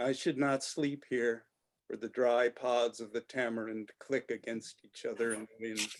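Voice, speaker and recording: A man speaks at a fairly slow pace. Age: 60s. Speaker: poet. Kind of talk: poetry reading. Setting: video call.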